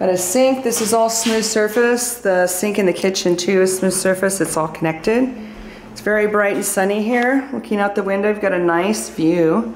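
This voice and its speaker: A woman talks at a moderate pace with ordinary pitch variation. The room echo is audible, and there is light background noise. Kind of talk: property tour narration. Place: home room. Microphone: phone near.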